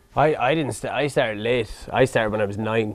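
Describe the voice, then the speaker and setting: Amid noticeable background noise, a man with an Irish accent talks at a very fast pace in a fairly low pitch. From Galway, west of Ireland. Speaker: Irish dance teacher. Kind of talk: interview.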